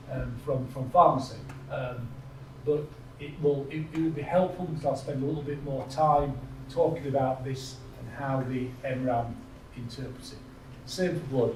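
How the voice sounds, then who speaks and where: Amid noticeable background noise and audible room echo, a man with a northern English accent speaks at a medium pitch and moderate pace, with fairly even intonation and long, frequent pauses. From northern England. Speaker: health IT executive. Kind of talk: conference presentation. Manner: halting.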